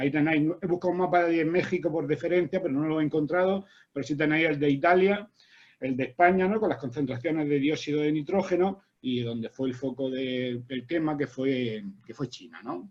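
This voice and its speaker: The pace is fairly quick. A man's pitch shows ordinary variation. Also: fairly high pitch for a man. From Spain. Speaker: agronomist and university researcher. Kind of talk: academic seminar talk. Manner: fast.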